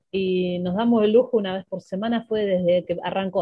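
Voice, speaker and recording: A woman with a medium-pitched voice talks at a moderate speed, her intonation fairly even. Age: 50s. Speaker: football coach and sports journalist. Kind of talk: interview. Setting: radio studio.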